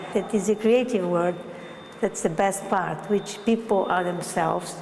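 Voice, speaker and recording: A woman speaks fairly slowly at a medium pitch with fairly even intonation, with noticeable background noise behind her. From Brazil. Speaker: artist and gallery owner. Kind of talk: documentary interview. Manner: halting, with fillers.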